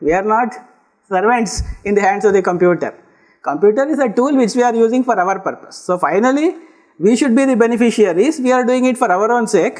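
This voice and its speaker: With a Kannada accent, a man speaks high in pitch at a fairly quick pace, his intonation lively and his loudness very even. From Karnataka, India. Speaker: lecturer. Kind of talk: lecture.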